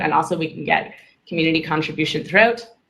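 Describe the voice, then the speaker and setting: There is audible room echo as a woman talks at a fairly quick pace with ordinary pitch variation. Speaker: community tools presenter. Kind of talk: work meeting presentation. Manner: fast.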